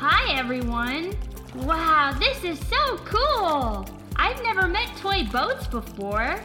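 A put-on character voice at extremely high pitch and very slow pace, with clear music in the background. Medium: audio drama. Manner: chipper, wide-eyed, exclamatory.

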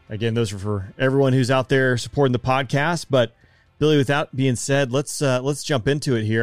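The recording is very clean, with a silent background. A man with an unremarkable speaking voice talks at a fairly quick pace with fairly even intonation. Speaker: podcast host. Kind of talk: casual interview.

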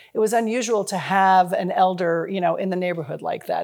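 In an American accent, a woman with an unremarkable speaking voice talks at a fairly quick pace, medium in pitch and fairly even in intonation. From US Midwest, Chicago and Cincinnati. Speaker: nonprofit founder. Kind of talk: interview.

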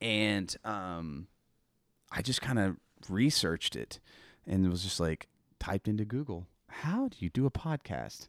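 On a very clean recording with a silent background and a dry, close sound with no echo, a man with an American accent speaks at a fairly low pitch. His intonation is lively, his pace fairly slow, with long, frequent pauses. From Oklahoma, Tulsa area. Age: 40s. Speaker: podcast host. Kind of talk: casual chat.

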